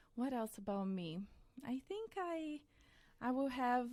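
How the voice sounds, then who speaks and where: A woman with a fairly high pitch speaks in a lively, varied intonation. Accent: Brazilian. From central-west Brazil, small town. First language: Portuguese. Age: 30s. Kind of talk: podcast interview.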